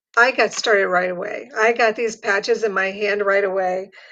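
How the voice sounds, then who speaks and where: Against a quiet background, a woman with an American accent talks at a moderate pace and medium pitch in a plain, everyday voice. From Ohio, US Midwest. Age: 60s. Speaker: patch distributor, caregiver. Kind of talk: sales pitch.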